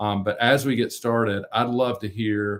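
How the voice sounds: Speaking with a North Carolina accent, a man uses a fairly low pitch, a fairly bright tone and fairly even intonation at a fairly slow pace. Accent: American South, North Carolina.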